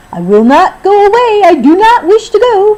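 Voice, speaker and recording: A squeaky put-on character voice from a woman, extremely high in pitch, at a moderate pace. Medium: read story. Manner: boastful, playful.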